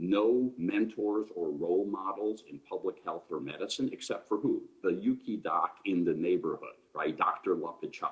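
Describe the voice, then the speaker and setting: At a moderate pace and with hardly any pauses, a man talks in a Chicago accent. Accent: Chicago American English. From Chicago, US Midwest. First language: Ukrainian. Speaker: public health physician, panelist. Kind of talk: panel discussion talk. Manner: animated.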